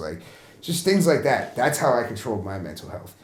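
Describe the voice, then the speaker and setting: A man's voice with music in the background and audible room echo. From Canada, Vancouver. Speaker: rapper and producer. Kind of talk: documentary interview.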